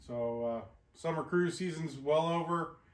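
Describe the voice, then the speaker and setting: A man talks at a moderate pace, his pitch varying in an ordinary way, with audible room echo around him. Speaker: vehicle restoration channel host. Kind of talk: casual vlog intro. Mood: relaxed, friendly. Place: garage.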